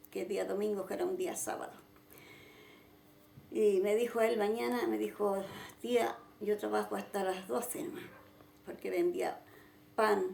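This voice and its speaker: Audible room echo surrounds a woman speaking at a fairly slow pace. She leaves long, frequent pauses. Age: 70s. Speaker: church founder. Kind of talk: testimony.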